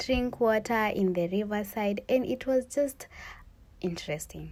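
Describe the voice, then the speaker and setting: The woman's tone is dark and mellow, with ordinary pitch variation. She keeps a fairly slow pace. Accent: Kenyan. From Kenya, Kikuyu region. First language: Kikuyu or Swahili. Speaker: student vlogger. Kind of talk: cooking vlog narration. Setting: village in Kenya. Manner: casual, conversational.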